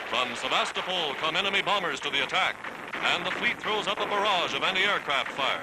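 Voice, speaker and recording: A man's high-pitched voice at a fairly quick pace, with very even loudness, ordinary pitch variation and noticeable background noise. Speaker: newsreel narrator. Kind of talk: wartime newsreel narration.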